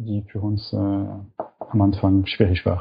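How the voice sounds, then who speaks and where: A man speaks in a somewhat breathy voice. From French-speaking Switzerland. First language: French (speaking German). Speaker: startup co-founder. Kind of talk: interview. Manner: halting, with fillers.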